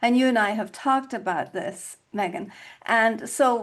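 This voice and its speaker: With an American accent and a fairly high pitch, a woman speaks at a fairly slow pace with ordinary pitch variation over a quiet background. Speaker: podcast host. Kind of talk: conversational interview.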